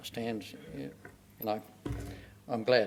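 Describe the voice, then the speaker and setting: Through audible room echo, a man with a medium pitch speaks at a very slow pace. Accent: rural Australian. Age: 70s. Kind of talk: personal testimony speech. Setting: stage with audience. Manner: halting, many fillers.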